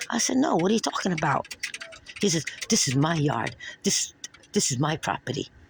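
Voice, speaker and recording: A woman's fairly low voice in a New York accent, at a fairly quick pace with long, frequent pauses, very wide pitch swings and very even loudness, over noticeable background noise. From New York (Brooklyn). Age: 60s. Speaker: retired nurse reporting an assault. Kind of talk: police report interview.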